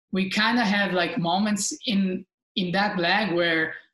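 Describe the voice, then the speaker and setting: A woman speaks in an Italian accent at a medium pitch. Her intonation stays fairly even. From Italy. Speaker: professional sailor, Olympian. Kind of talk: interview. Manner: hesitant, with many fillers.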